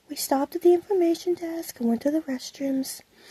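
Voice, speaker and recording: Soft-spoken and calm in tone, a woman talks. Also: dry, close sound with no echo. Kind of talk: ASMR roleplay explaining museum maps. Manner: soft-spoken, calm.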